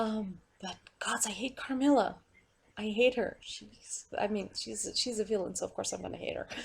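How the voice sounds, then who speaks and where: At a moderate pace, a woman with a fairly high pitch, vocal fry, and ordinary pitch variation speaks. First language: Portuguese. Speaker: vlogger. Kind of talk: casual monologue rant. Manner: rambling with many fillers; animated.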